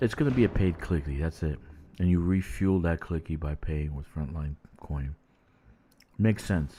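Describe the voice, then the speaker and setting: A man speaks at a moderate pace in a very deep, low pitch with a dark, mellow tone. His pitch varies in an ordinary way, and he takes long, frequent pauses. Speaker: gaming streamer. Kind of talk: casual chat. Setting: live stream from home at night. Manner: loud; animated.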